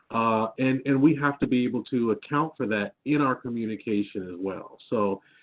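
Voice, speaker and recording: Lively intonation from a man with an American accent, medium in pitch, at a moderate pace. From Midwestern United States. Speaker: adjunct business analytics instructor. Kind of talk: webinar panel discussion.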